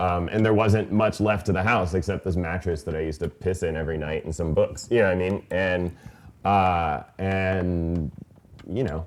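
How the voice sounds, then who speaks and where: Fairly even intonation marks this voice with an American accent. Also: man. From US, came from Iran at age three. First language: Farsi. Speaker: author and poet. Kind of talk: author talk Q&A. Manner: casual, filler-heavy.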